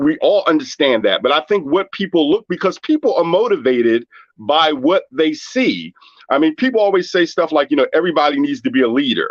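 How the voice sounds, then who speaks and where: A man with a plain, everyday voice at a moderate pace, in a dry, close sound with no echo. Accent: American. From Washington, D.C. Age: 60s. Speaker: caller. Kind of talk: casual discussion.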